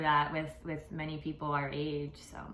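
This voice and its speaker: A woman with a fairly low pitch and a bright, sharp tone speaks at a fairly slow pace, with audible room echo. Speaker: podcast host. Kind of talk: casual interview. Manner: stuttering, halting.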